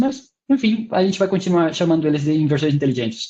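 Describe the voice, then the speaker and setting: Here a man talks at a fairly quick pace with lively intonation. His pitch sits high. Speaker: university researcher, webinar presenter. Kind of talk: technical webinar lecture. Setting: online webinar. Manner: hesitant, many fillers.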